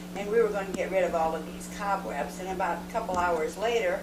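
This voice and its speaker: With ordinary pitch variation at a moderate pace, the speech comes through audible room echo and noticeable background noise. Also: woman. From US Pacific Northwest, Washington State. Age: 50s. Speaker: mother interviewed about her life. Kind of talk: oral history interview. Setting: home video recording. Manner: hesitant, many fillers.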